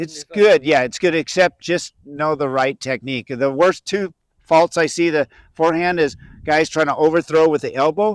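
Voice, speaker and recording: With a normal speaking voice, a man talks at a fairly high pitch and a moderate pace, using ordinary pitch variation in a dry, close sound with no echo. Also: very clean recording, silent background. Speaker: senior professional disc golfer and coach. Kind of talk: instructional tutorial.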